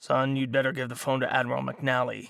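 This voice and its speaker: Putting on a character voice, a man speaks at a fairly quick pace in a medium pitch that is raspy, gruff and gravelly. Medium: read story. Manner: gruff, blunt.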